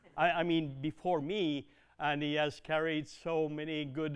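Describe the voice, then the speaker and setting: The voice is a man's, pitched fairly high. He talks at a very slow pace. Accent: Quebec. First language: French. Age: 60s. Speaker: dairy consultant. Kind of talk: presentation. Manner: halting, many fillers.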